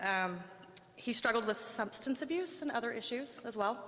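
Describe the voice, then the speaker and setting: A woman talks with an American accent at a moderate pace. Her pitch is fairly high, with ordinary variation. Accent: Oklahoma accent, comes out when nervous. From Oklahoma, small town. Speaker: domestic violence survivor sharing her story. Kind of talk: public speech, personal testimony. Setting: public speech at the state house to a crowd. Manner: halting, many fillers.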